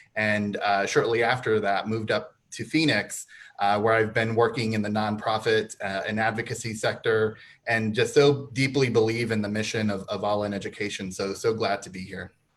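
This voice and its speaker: A man with an American accent speaks in an ordinary speaking voice, fairly low in pitch, at a moderate pace with fairly even intonation. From southern Arizona. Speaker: nonprofit foundation officer. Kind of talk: panel discussion.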